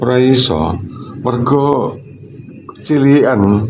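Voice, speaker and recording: Through noticeable background noise and audible room echo, a man speaks with a Surabaya accent. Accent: East Javanese (Surabaya). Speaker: water treatment consultant vlogger. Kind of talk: casual livestream chat. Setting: high up overlooking Surabaya.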